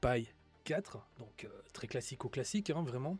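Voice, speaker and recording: At a moderate pace, a man talks in a medium pitch with a somewhat breathy sound. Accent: Belgian. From Belgium. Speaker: tech streamer. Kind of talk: live stream talk. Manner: hesitant, many fillers.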